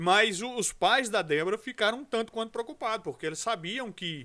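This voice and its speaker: Raised and projected, a man's voice carries a bright, sharp tone and a high pitch as he speaks at a fairly slow pace. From Brazil, Rio de Janeiro. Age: 40s. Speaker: pastor. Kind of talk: podcast interview.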